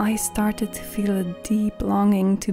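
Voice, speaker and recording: A woman speaks at a fairly slow pace in a soothing tone. Music plays in the background. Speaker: voice over artist. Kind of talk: calm reflective vlog narration. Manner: soft, soothing, slow.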